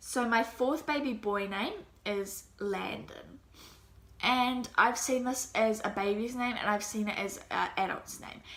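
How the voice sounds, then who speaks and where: Audible room echo surrounds a woman speaking at a fairly high pitch in a New Zealand accent. Her pace is fairly slow and her intonation fairly even. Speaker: mommy vlogger. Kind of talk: casual vlog talk. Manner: casual, hesitant.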